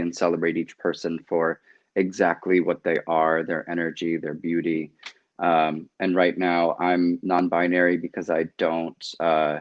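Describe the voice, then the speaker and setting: A man speaks at a moderate pace in a very deep, low voice, with monotone, flat intonation. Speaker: actor. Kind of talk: video call interview.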